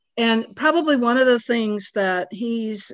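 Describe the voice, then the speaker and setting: Fairly slow speech from a woman against a quiet background, with ordinary pitch variation. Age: 60s. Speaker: pastor and podcast host. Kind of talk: casual conversation between mother and daughter. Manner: nervous about unscripted talk.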